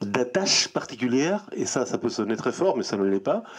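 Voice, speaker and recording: Noticeable background noise sits behind a man's voice. He moves at a moderate pace, with very wide pitch swings. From Chile. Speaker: writer. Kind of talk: interview. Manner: halting, repetitive.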